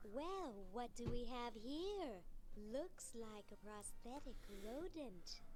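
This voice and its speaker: Over loud background noise, a woman uses a put-on character voice with a high pitch at a very slow pace. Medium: video game. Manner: brusque.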